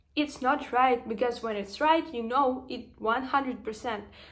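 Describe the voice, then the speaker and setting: With a Ukrainian accent, a woman speaks at a high pitch and with fairly even intonation. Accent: Ukrainian accent, noticeable. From Ukraine. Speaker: vlogger and social media marketer. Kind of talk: motivational vlog monologue. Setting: standing, filming herself after a workout. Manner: emotional, hesitant with fillers.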